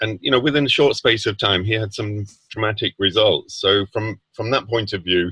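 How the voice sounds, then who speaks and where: A man speaks with a British accent at a fairly low pitch. His pace is moderate, with ordinary pitch variation. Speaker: product user sharing results. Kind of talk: testimony. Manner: halting.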